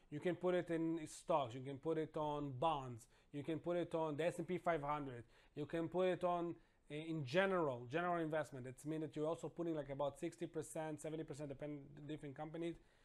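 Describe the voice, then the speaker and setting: A man with an Israeli accent talks at a very fast pace with fairly even intonation. The recording is very clean, with a silent background. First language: Hebrew. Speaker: financial consultant. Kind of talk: tutorial. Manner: casual, slightly halting non-native delivery.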